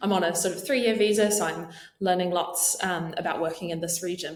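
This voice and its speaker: With a New Zealand accent, a woman talks at a fairly quick pace and fairly low pitch with ordinary pitch variation over noticeable background noise. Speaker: marketing leader. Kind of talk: podcast interview.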